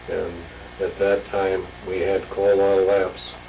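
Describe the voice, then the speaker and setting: A man with an American accent, heard with audible room echo and noticeable background noise. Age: 70s. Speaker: grandfather telling his life story. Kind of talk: oral history interview.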